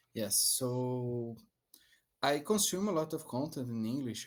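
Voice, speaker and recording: A man with a Portuguese accent, medium pitch and lively intonation, at a fairly slow pace on a very clean recording with a silent background. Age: 30s. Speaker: English learner, software developer intern. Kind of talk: language lesson conversation. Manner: halting.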